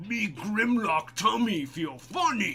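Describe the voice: A man's put-on character voice, high in pitch, at a fairly slow pace over clear music in the background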